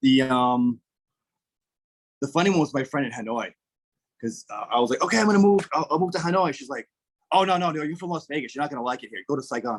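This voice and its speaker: Speaking very fast with a South Shore Massachusetts accent, a man uses lively intonation and a fairly high pitch. His speech has long, frequent pauses. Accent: South Shore Massachusetts accent, non-rhotic. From US Northeast, southern Massachusetts South Shore. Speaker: English teacher, former political candidate. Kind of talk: casual interview chat.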